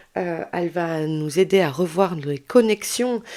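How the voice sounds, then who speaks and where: Her voice is medium in pitch. This woman talks very slowly. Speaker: tarot and astrology reader. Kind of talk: tarot guidance video. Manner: hesitant, many fillers; chatty.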